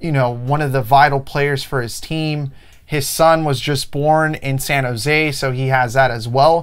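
A man at a fairly slow pace with ordinary pitch variation. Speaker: podcast co-host. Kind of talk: sports discussion commentary. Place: studio. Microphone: lapel.

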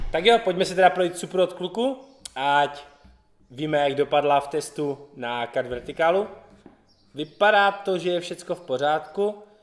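A man with a high pitch and ordinary pitch variation talks at a moderate pace. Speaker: YouTube car channel host. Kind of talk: casual vlog presentation. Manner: casual, upbeat. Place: garage. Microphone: camera far.

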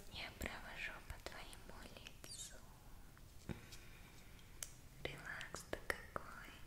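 A woman whispers in a gentle tone. Her pace is very slow. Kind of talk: soft roleplay talk to viewer. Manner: soft, gentle ASMR murmur. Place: home room. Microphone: phone near.

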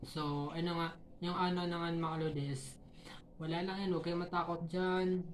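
The intonation is monotone and flat, the loudness very even, and audible room echo surrounds the voice. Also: woman, fairly low pitch for a woman, moderate pace. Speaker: YouTube vlogger giving tips to other creators. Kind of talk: casual tutorial vlog. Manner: halting, stumbling over words.

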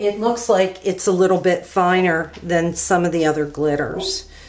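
Over light background noise, a woman talks at a fairly slow pace in a fairly low pitch with fairly even intonation. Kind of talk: tutorial. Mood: relaxed, slightly apologetic. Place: home room.

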